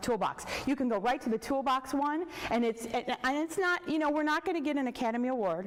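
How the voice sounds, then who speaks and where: Against noticeable background noise, a woman talks at a high pitch with ordinary pitch variation. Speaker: early childhood professor. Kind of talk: workshop discussion. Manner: fast.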